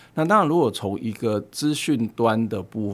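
In a plain, everyday voice, a man speaks fairly slowly at a medium pitch with lively intonation. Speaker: professor. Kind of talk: casual chat.

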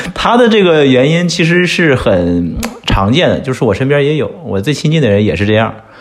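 A man speaks at a fairly quick pace with very wide pitch swings. There is audible room echo and noticeable background noise. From China. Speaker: entrepreneur. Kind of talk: casual chat.

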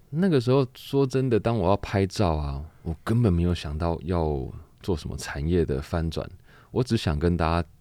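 A man with a Taiwanese accent talks at a moderate pace in a very deep, low pitch, his tone dark and mellow and his intonation lively. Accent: Taiwanese Mandarin. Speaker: laundry shop owner and charity organizer. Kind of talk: interview.

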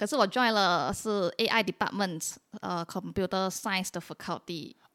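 On a very clean recording with a silent background, a woman speaks in a normal speaking voice at medium pitch and a moderate pace, with ordinary pitch variation. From Malaysia, Penang. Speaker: PhD researcher and incoming lecturer. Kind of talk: casual interview.

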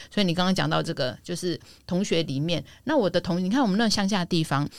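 A woman speaks with a fairly low pitch and vocal fry. Her intonation is lively and her pace fairly quick. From Taiwan, Yilan. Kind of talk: casual chat.

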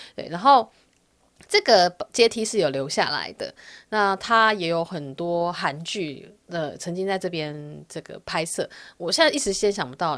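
This woman speaks with a Taiwanese accent. The recording is very clean, with a silent background. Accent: Taiwanese Mandarin. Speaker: podcast host. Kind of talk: solo podcast monologue. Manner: chatty, casual.

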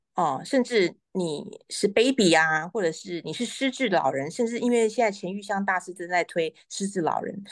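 Against a quiet background, a woman with a plain, everyday voice speaks at a medium pitch and a moderate pace with lively intonation. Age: 40s. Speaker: pianist, piano teacher and author. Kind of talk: interview. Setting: live stream.

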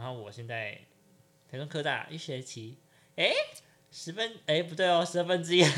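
Speaking at a fairly quick pace, a man with a fairly high pitch uses lively intonation, big swings in loudness and long, frequent pauses. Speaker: podcast host. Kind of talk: casual chat.

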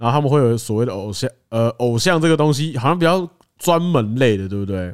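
A man with a Taiwanese accent, medium pitch and lively intonation, at a moderate pace in a very clean recording with a silent background. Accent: Taiwanese Mandarin. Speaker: podcast co-host. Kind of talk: casual chat.

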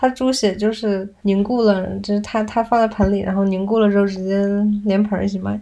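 Soft-spoken and fairly quick, a woman with a slight Northeastern Chinese accent talks at a medium pitch in a dark, mellow tone with monotone, flat intonation. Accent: little Northeastern. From Northeast China. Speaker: podcast co-host. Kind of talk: casual chat.

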